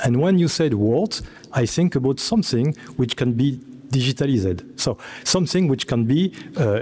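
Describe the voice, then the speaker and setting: A man with a French accent speaks at a moderate pace in a medium pitch, his tone dark, mellow and somewhat breathy, with lively intonation and very even loudness. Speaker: computer scientist, panelist. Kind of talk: round table presentation. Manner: halting.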